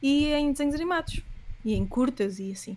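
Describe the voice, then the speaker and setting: Woman's voice with lively intonation. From Portugal, Leiria. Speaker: animator and illustrator. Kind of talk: casual interview.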